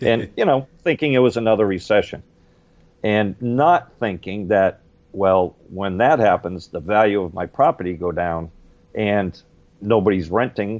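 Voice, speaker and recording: A man with an ordinary speaking voice, fairly low pitch, ordinary pitch variation and a fairly slow pace. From Ireland, raised in Boston and Maine. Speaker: real estate appraiser. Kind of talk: interview answer.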